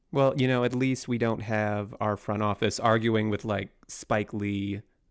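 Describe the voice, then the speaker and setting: With a plain, everyday voice, a man with an American accent speaks fairly slowly in a fairly low pitch, his intonation fairly even. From Seattle area, US Pacific Northwest. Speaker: sports writer and editor. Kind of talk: casual chat. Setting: remote call.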